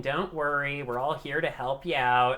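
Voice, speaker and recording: A man puts on a character voice, fairly high in pitch, at a moderate pace. Light noise sits in the background. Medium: actual play. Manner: casual, bro-ish.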